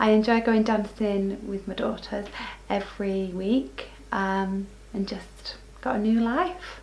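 A woman speaks at a very slow pace with fairly even intonation. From northern England. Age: 40s. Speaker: weight-loss interviewee; interviewee. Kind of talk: personal testimony. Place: home room.

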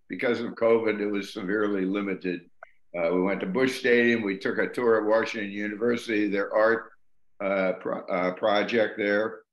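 Audible room echo surrounds a man speaking at a moderate pace with a fairly low pitch and monotone, flat intonation. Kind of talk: informal presentation. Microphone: video call.

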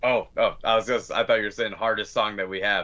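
A man with an American accent over a quiet background. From Pennsylvania, Scranton; Pennsylvania. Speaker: metal band vocalist; guest. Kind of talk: casual interview chat. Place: home room.

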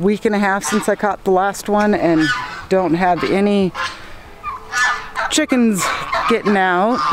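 A woman speaks at a fairly slow pace with ordinary pitch variation, the sound dry with no echo but carrying noticeable background noise. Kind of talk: casual vlog chat. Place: farm machine. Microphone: phone near.

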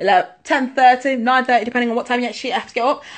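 A woman in an East Midlands accent, high-pitched and animated, against a quiet background. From England, Leicester; England. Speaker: musical theatre performer; dance workshop host. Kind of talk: casual social media Q&A. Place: home room. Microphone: phone near.

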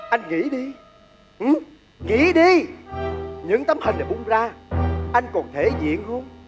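Over clear music in the background, a man talks at a fairly slow pace. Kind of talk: comic stage acting. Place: stage. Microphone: handheld.

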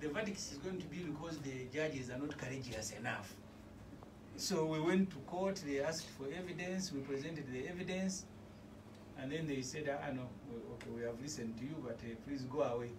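A man talks at a fairly quick pace with ordinary pitch variation. Noticeable background noise runs underneath. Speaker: guest. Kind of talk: political talk show discussion. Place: studio. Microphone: phone near.

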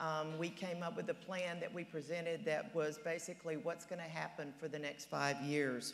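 A woman with an unremarkable speaking voice talks at a moderate pace, her fairly low pitch kept fairly even, over light background noise. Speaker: candidate. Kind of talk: debate opening statement. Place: stage. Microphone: lapel.

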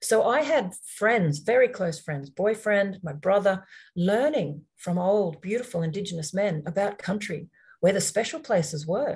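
Somewhat breathy, the speaker talks at a moderate pace with lively intonation in an Australian accent against a quiet background. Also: woman. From Australia (Queensland). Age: 50s. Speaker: environmental law nonprofit leader and workshop host; workshop host. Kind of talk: online workshop presentation. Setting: video call. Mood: reflective, personal story. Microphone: webcam.

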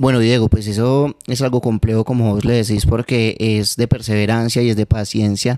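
Over a quiet background, a man speaks at a moderate pace and medium pitch, his tone dark and mellow, his intonation monotone and flat, the sound dry with no echo. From Manizales, Colombia; Colombia. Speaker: urban music artist; guest. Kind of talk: interview. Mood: relaxed, reflective. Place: home room. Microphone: handheld.

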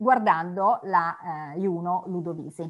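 A woman speaks against a quiet background. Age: 50s. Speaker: art historian lecturer. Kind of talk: lecture. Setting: video call. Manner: halting, many fillers and repetitions. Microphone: video call.

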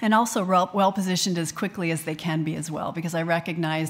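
Speaking very fast, a woman with an American accent uses a fairly low pitch. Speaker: small business owner; panelist. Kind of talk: panel discussion. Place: hall. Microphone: podium.

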